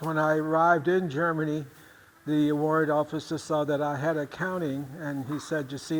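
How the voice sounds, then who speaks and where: The man's voice sits fairly high. He speaks flatly, in a monotone. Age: 80s+. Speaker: retired army veteran. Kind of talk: interview testimony.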